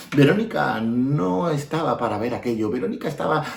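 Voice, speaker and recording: A man's voice makes very wide pitch swings at a fairly quick pace, with noticeable background noise behind it. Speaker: storyteller. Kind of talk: children's storytelling. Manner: expressive, repetitive.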